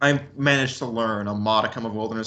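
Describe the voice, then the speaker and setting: A fairly quick man's voice, fairly low in pitch, bright and sharp in tone. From western US, moved around. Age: 20s. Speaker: son of a militia leader. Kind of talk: interview. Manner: halting.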